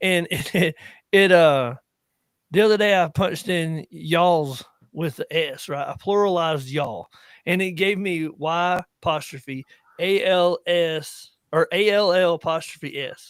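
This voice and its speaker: A man with a Southern US accent speaks fairly slowly in a high voice with ordinary pitch variation. The sound is dry and close with no echo, on a very clean recording with a silent background. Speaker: veteran podcast host. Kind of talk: casual chat. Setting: live stream.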